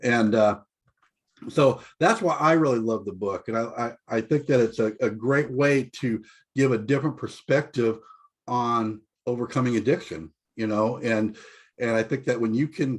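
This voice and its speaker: An ordinary speaking voice from a man, with ordinary pitch variation, a moderate pace and a quiet background. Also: medium pitch for a man. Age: 60s. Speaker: group member in addiction recovery. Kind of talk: group video call discussion.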